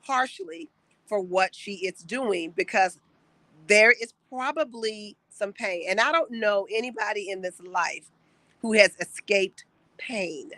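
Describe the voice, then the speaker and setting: Her tone is bright and sharp, with medium pitch and ordinary pitch variation for a woman. She speaks at a fairly slow pace, and the sound is dry and close with no echo. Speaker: peace coach, live stream host. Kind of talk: live stream motivational talk. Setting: outdoors.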